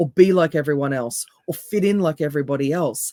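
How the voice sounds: The voice is raspy with a dark, mellow tone and ordinary pitch variation. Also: woman.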